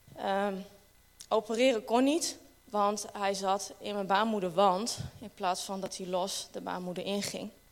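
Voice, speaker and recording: A woman talks at a fairly slow pace and a medium pitch, with ordinary pitch variation. Her loudness swings widely. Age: 30s. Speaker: church member. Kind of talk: testimony. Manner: halting.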